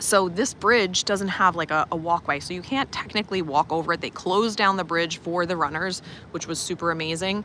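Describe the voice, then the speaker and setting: A Long Island accent at a fairly quick pace with hardly any pauses and ordinary pitch variation, over noticeable background noise. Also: woman, fairly low pitch for a woman. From Long Island, New York. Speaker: life coach and teacher. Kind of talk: casual livestream chat. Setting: outdoors, walking around resort. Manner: animated.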